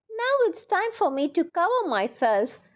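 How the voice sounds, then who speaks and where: A woman's squeaky, put-on character voice, extremely high in pitch with very wide swings. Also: moderate pace. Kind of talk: bedtime story. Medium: read story.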